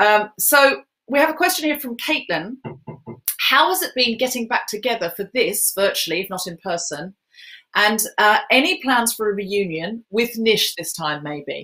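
At a moderate pace, a woman with a fairly high, bright, sharp voice makes very wide pitch swings over a quiet background. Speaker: comedian and podcaster hosting a charity event; comedian, podcaster hosting a charity event. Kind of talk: hosting a live online charity Q&A. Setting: live stream with headphones. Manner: animated. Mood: warm, lightly humorous. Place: home room.

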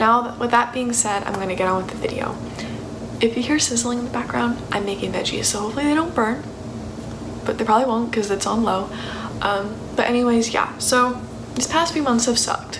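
Noticeable background noise behind a woman's fairly quick delivery. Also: ordinary pitch variation. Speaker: vlogger. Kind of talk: casual vlog chat. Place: kitchen. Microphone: phone near.

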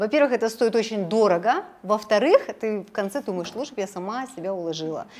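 A woman speaks at a fairly quick pace and fairly high pitch, with hardly any pauses. Her intonation is lively, and her loudness swings widely. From Kazakhstan. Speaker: interviewer. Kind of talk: interview. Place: office.

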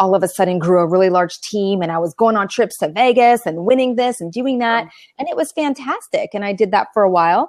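Over a quiet background, a woman talks at a fairly quick pace in a dry sound with no echo. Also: lively intonation. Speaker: remote interview guest. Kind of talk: interview answer. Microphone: video call.

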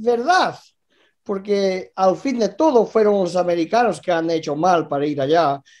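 A man's voice shows very wide pitch swings against a quiet background. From Canada (Vancouver area), born in Galicia. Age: 50s. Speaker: former boxing world champion. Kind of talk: casual interview chat. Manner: halting, repetitive. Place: home room. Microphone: video call.

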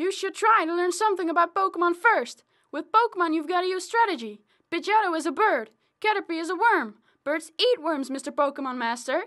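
In a cartoonish character voice, the speaker goes at a fairly quick pace with an extremely high pitch. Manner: condescending, lecturing.

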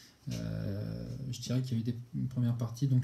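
A man speaks with a dark, mellow tone. His voice is somewhat breathy. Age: 30s. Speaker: physiotherapist. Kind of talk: testimony. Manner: halting, many hesitations and repetitions. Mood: calm, reflective. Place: home room. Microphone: webcam.

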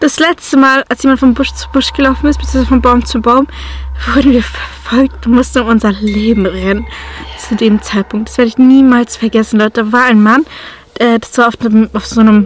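A woman talks at a fairly quick pace with music in the background. The sound is dry, with no echo. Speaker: vlogger. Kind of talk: casual vlog chat, storytelling. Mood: tense, spooked. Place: car. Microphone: phone near.

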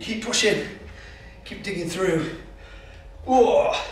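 Audible room echo follows a man talking at a moderate pace. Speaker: fitness coach. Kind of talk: workout instruction. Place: gym. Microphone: camera far.

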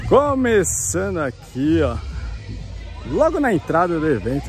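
A man's voice sounds dry with no echo, with faint music in the background. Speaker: car vlogger. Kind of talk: casual vlog chat. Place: open country. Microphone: phone near.

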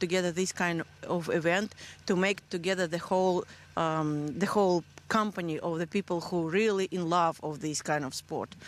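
In a Russian accent, a woman talks at a moderate pace and medium pitch, her intonation fairly even and the sound dry with no echo. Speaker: race founder. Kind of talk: interview. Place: open country. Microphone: handheld.

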